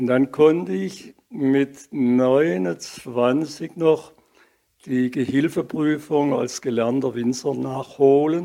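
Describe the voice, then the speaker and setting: A man speaks at a very slow pace in a fairly high voice with a dark, mellow tone and ordinary pitch variation. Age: 80s+. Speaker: retired movement therapist and sports teacher. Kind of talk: interview.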